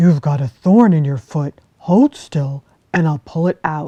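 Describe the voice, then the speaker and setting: At a fairly slow pace, a female-sounding voice does a put-on character voice at a middle pitch. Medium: read story.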